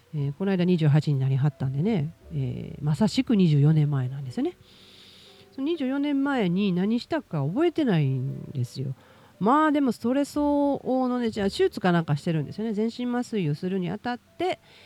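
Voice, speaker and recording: Her pitch swings very widely at a moderate pace. The woman's tone is dark and mellow. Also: medium pitch for a woman. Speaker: podcast host. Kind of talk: casual monologue.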